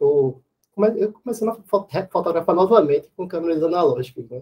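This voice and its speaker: A man talks with lively intonation at a moderate pace. His voice is somewhat breathy. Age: 30s. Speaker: architecture professor and photographer. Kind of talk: casual chat. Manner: hesitant, with fillers.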